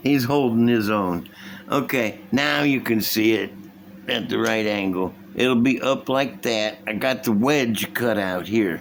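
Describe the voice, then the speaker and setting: A man talks at a fairly slow pace with very even loudness. His pitch is medium with ordinary pitch variation. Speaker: model car building youtuber. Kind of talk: casual hobby tutorial. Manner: animated.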